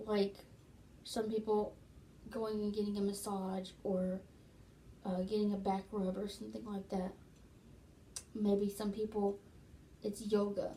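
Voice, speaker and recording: With long, frequent pauses, a woman speaks in a dark, mellow, somewhat breathy tone and monotone, flat intonation. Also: medium pitch for a woman, fairly slow pace. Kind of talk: casual talk to camera. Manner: conversational, explanatory.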